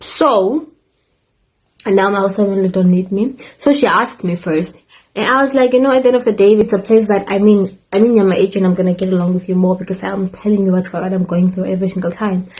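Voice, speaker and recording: At a very fast pace, a woman speaks in a somewhat breathy, medium-pitched voice with ordinary pitch variation. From Africa. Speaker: YouTuber, former au pair. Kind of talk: casual storytime vlog. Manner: casual, chatty with fillers.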